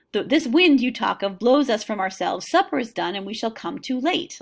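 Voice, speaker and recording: Putting on a character voice, a woman talks fairly quickly at a high pitch with very wide pitch swings. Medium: read story. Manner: impatient.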